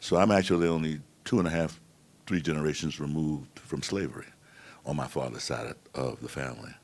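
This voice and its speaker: This man talks very fast in a very deep, low pitch with vocal fry. He has an American accent. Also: ordinary pitch variation. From New York City. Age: 70s. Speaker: panel moderator. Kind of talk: panel discussion.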